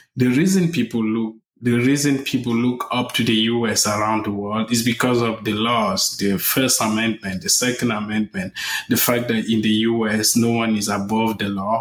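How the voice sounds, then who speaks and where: A man with very even loudness and fairly even intonation, over noticeable background noise. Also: medium pitch for a man, moderate pace. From Africa. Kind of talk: news interview.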